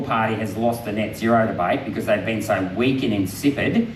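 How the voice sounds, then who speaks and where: With an Australian accent and fairly even intonation, a man talks at a fairly quick pace amid audible room echo and noticeable background noise. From Queensland, Australia. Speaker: politician. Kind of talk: public talk with Q&A.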